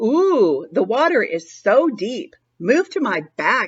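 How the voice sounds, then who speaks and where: Putting on a character voice, a woman speaks fairly slowly at a high pitch with very wide pitch swings. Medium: read story. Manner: crooning, smooth.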